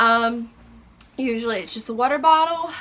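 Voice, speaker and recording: Using a raised, projected voice, a woman talks at a moderate pace with ordinary pitch variation. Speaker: lifestyle vlogger and mom. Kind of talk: casual vlog show-and-tell. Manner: halting, many fillers.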